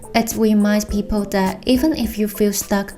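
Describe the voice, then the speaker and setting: A woman speaks at a medium pitch with a Hong Kong accent. Her intonation stays fairly even as music plays in the background. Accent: Hong Kong accent, Cantonese-style English. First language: Cantonese. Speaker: illustrator and designer. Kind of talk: explainer video.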